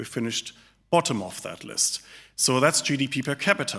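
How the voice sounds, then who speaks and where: Here a man talks with a German accent, his voice fairly high and bright, sharp in tone. The recording is very clean, with a silent background. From Germany. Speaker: think tank director, economist. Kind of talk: speech. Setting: live audience at an event.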